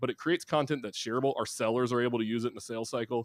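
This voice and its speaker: With a Southern US accent, a man speaks with fairly even intonation. The recording is very clean with a silent background and a dry, close sound with no echo. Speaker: marketing executive. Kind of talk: interview. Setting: live podcast.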